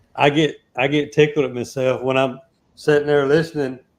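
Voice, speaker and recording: A man's voice at a fairly high pitch. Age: 60s. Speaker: beekeeper. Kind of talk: casual chat.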